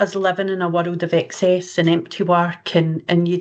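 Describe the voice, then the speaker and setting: The speaker talks at a fairly slow pace with a Scottish accent. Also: woman. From Scotland. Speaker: researcher. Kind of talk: conference Q&A.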